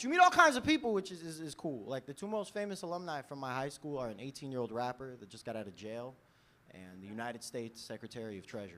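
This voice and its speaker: A man with a New York accent and a bright, sharp tone at medium pitch, very fast, with very wide pitch swings and big swings in loudness. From New York City (Brooklyn). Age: 20s. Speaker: stand-up comedian. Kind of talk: stand-up comedy set. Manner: casual, conversational.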